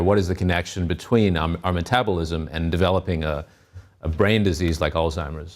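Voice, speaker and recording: In a very clean recording with a silent background, a man with a very deep, low pitch speaks at a fairly quick pace with fairly even intonation. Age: 40s. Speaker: health correspondent and TV host. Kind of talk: news interview segment. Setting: TV studio.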